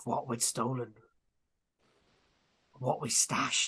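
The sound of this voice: A put-on character voice with a bright, sharp tone and a husky, rough edge moves slowly with little pitch movement. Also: man, medium pitch for a man.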